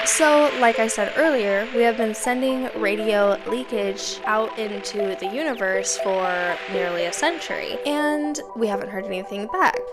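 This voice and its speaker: A woman speaking, with music in the background. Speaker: YouTuber. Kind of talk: casual explanatory talk to camera.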